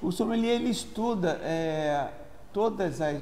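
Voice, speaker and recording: A man speaks in a Rio de Janeiro accent, with audible room echo. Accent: carioca. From Brazil, Rio de Janeiro. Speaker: engineer and sommelier student. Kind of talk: informal talk on wine. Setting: restaurant. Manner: halting, frequent self-corrections.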